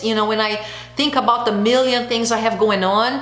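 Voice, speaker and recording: A loud, animated woman at a high pitch, amid noticeable background noise and audible room echo. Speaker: beauty and lifestyle vlogger. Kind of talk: casual chat.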